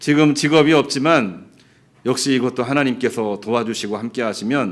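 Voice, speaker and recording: In an ordinary speaking voice, a man talks at a moderate pace with lively intonation, captured in a very clean recording over a silent background. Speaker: pastor. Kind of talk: sermon.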